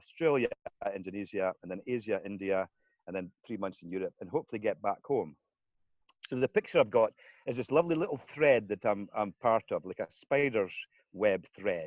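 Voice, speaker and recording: A man with a Scottish accent, a fairly low pitch and lively intonation at a fairly quick pace, with a quiet background and a dry, close sound with no echo. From Scotland. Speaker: community currency founder. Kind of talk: interview.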